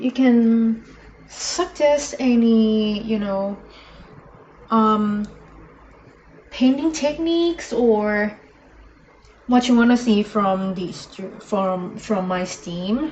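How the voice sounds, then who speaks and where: A woman's fairly high voice with a non-native accent, very slow, with long, frequent pauses. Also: lively intonation. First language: not English. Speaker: miniature painter streamer. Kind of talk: live stream painting tutorial. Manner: halting, many fillers.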